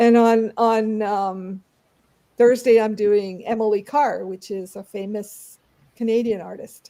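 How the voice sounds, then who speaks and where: A woman's fairly high-pitched voice, dark and mellow in tone, with monotone, flat intonation, big swings in loudness and a fairly slow pace. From Canada, Toronto. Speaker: artist and art history presenter. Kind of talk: casual interview. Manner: hesitant, many fillers.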